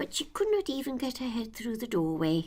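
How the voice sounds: At a fairly quick pace, a woman speaks with fairly high pitch and big pitch swings. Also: slightly mellow tone.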